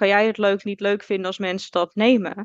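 This woman has a normal speaking voice, medium in pitch, moving at a moderate pace with a dry, close sound, no echo, and a quiet background. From Netherlands, South Holland (Alphen aan de Rijn). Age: 20s. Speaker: orthomolecular adviser and entrepreneur. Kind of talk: casual interview chat.

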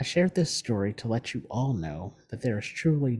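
This man's voice has a dark, mellow tone at a medium pitch. It is somewhat breathy. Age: 40s. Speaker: podcast host. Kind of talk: personal monologue.

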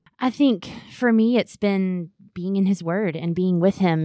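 Speaking in a Southern US accent, a woman uses a medium pitch. The recording is very clean with a silent background and a dry, close sound with no echo. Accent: Southern US (Georgia). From US South, Augusta, Georgia. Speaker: Bible teacher. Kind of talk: casual chat.

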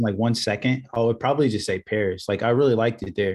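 This voice has a Midwestern American accent. It moves at a very fast pace with ordinary pitch variation. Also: man. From Indiana, US Midwest. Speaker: video content business owner. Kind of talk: casual interview chat.

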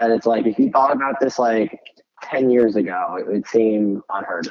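A man's normal speaking voice at a moderate pace and medium pitch. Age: 20s. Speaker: startup founder. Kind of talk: interview.

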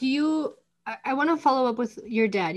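A woman speaks with an Upper Midwest accent and lively intonation. The background is quiet. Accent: Upper Midwest American. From North Dakota. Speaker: podcast host and chiropractor. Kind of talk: casual interview chat.

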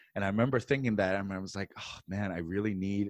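With a New York accent, a man talks at a very fast pace in a dry, close sound with no echo and a quiet background. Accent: American, New York. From New York City, US. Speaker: stand-up comedian. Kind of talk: casual interview chat. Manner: animated.

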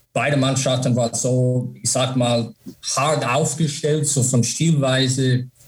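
A man speaks in an English accent at a very slow pace. His intonation stays monotone and flat. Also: medium pitch for a man, very even loudness. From USA. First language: English (speaking German). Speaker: former ice hockey player and coach. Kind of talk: interview. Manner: halting, many fillers.

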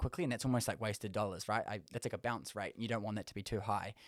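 A man with a New Zealand accent speaks in a very clean recording with a silent background and a dry, close sound with no echo. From South Auckland. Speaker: creative director, business founder, reality TV contestant. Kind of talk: casual podcast interview. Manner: fast talker.

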